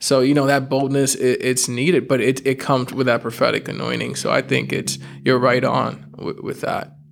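There is noticeable background noise as a man speaks at a moderate pace with hardly any pauses. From New York. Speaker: podcast host and youth leader. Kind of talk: casual interview chat.

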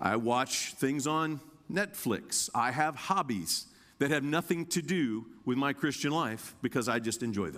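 On a very clean recording with a silent background, a man with an American accent speaks in an ordinary speaking voice at a medium pitch. His intonation is lively and his pace fairly slow. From Indiana, US Midwest. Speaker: guest preacher. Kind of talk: sermon. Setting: church.

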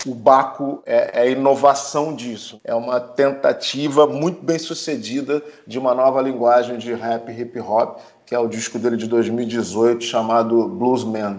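A man speaking at a fairly slow pace with fairly even intonation over noticeable background noise. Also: medium pitch for a man. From Brazil. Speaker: film producer. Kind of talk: casual chat.

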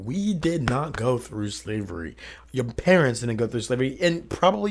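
With an American accent and lively intonation, a man talks at medium pitch in a plain, everyday voice. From Columbus, Ohio. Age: 20s. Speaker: podcast guest. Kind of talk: casual chat.

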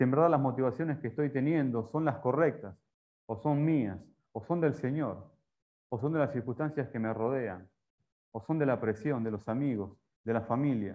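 Long, frequent pauses within a moderate pace, plus ordinary pitch variation. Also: man, medium pitch for a man. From Argentina. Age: 40s. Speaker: preacher. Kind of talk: sermon. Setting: church.

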